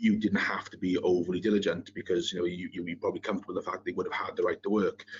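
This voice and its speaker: A man with a strong Welsh accent at a very fast pace, with hardly any pauses. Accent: thick Welsh. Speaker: compliance consultant, webinar panelist. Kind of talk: webinar presentation. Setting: online webinar.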